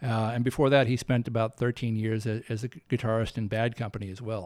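A man's unremarkable speaking voice at medium pitch and fairly quick pace, on a very clean recording with a silent background. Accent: American. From US South. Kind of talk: interview.

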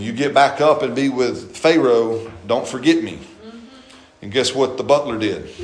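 A man with an American accent speaks at a moderate pace in a medium pitch, with ordinary pitch variation and big swings in loudness. Noticeable background noise and audible room echo fill the recording. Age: 50s. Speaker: pastor. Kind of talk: sermon. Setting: church. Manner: animated.

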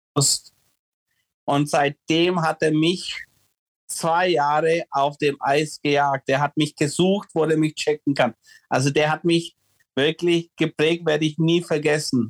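The voice moves at a very slow pace with long, frequent pauses, its intonation monotone and flat, its loudness very even, and its sound dry and close with no echo. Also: man, fairly high pitch for a man. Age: 40s. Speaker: former ice hockey player and coach. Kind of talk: interview. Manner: halting.

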